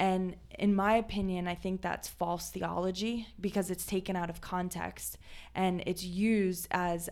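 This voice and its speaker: A woman's fairly low voice at a moderate pace, monotone and flat in intonation. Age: 30s. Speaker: podcast host. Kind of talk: casual chat.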